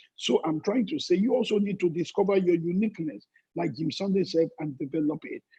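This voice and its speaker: A man's high-pitched, fairly quick speech with ordinary pitch variation. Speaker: pastor. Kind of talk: sermon. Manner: fast.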